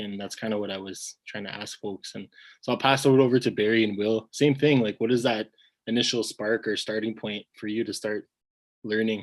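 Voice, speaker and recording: With a Canadian accent, a man speaks at a moderate pace in an ordinary speaking voice of medium pitch, with fairly even intonation, big swings in loudness, a dry, close sound with no echo and a quiet background. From Ontario. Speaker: webinar host. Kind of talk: webinar panel discussion. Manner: casual, many fillers.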